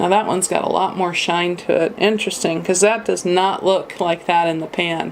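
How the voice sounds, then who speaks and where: Noticeable background noise surrounds a woman speaking at medium pitch. Her intonation is monotone and flat. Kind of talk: makeup haul review talk to camera. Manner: casual, chatty.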